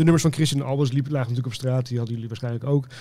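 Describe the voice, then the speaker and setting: This is a man talking. He has a dark, mellow tone. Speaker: magazine editor, former press officer. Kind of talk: casual chat.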